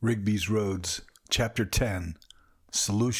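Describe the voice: The text is read aloud plainly, the intonation staying mostly level.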